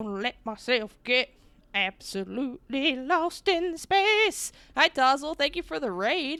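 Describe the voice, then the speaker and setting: A woman speaks very slowly in a high, bright, sharp voice. She projects loudly, her pitch swinging very widely. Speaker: video game streamer. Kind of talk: live gameplay stream chat. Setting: live stream.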